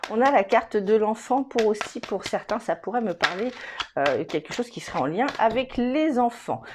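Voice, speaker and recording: Noticeable background noise surrounds a woman with a fairly high pitch. She speaks at a moderate pace with lively intonation. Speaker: tarot reader. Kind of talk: tarot reading to camera. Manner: hesitant, many fillers.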